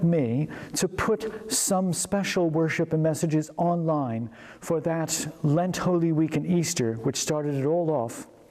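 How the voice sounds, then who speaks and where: Noticeable background noise surrounds a man with an American accent who speaks fairly slowly in a high pitch, with ordinary pitch variation. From United States. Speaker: vicar. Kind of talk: interview.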